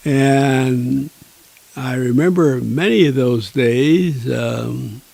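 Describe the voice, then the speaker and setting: A man speaks with a dark, mellow tone. His pace is very slow. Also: medium pitch for a man, ordinary pitch variation. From Niagara Falls, New York. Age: 90s. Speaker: retired teacher and author. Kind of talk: interview storytelling. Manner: spry, vibrant.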